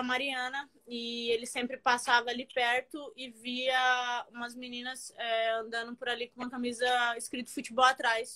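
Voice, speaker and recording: A woman with a high pitch and a bright, sharp tone talks with hardly any pauses, her intonation monotone and flat while her loudness swings widely. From Maranhão, Brazil (São Luís). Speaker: professional footballer. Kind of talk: casual interview. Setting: Instagram live video call.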